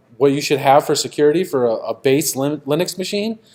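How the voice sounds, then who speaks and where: Here is a man with a normal speaking voice. His pitch is fairly high, with ordinary variation. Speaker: conference speaker. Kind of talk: technical conference talk.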